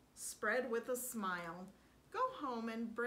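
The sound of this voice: Pitch varies in an ordinary way across this unforced reading voice.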